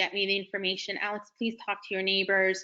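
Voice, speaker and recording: The woman talks at a moderate pace with a medium pitch. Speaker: city commissioner. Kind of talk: community Q&A conference call. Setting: conference call. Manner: loud when needed; informal, with many fillers.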